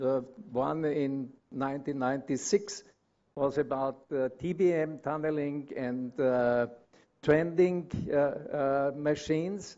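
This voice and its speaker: Talking at a very slow pace in a German accent, a man with a fairly high voice shows ordinary pitch variation. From Austria. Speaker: consulting engineer. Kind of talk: conference presentation. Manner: halting, many fillers.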